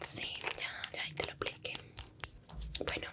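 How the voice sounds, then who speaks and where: At a moderate pace, a woman speaks in a whisper. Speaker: ASMR roleplay creator. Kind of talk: soft-spoken ASMR roleplay chat. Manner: soft close-mic ASMR speech. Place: home room.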